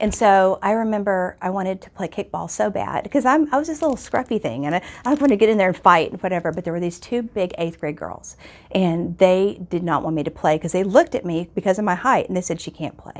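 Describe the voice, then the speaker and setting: Speaking very fast in an American accent, a woman uses lively intonation at a medium pitch. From Texas, Houston. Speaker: teacher. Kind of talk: personal testimony.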